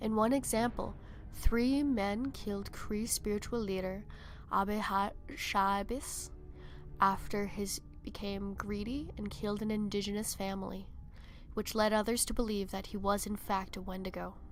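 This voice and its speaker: A woman speaks with fairly even intonation. Music plays in the background. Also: medium pitch for a woman, moderate pace. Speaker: horror narrator. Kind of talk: folklore fact narration. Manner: some stuttering.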